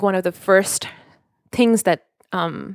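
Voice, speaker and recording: A woman speaks with a Nepali accent and fairly even intonation at a fairly slow pace. The recording is dry and close, with no echo. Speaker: podcast co-host. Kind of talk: casual chat.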